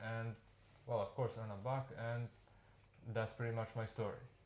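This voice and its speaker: A man with a medium pitch speaks at a moderate pace. He leaves long, frequent pauses. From Serbia. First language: Serbian. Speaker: immigrant worker. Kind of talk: interview. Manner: halting.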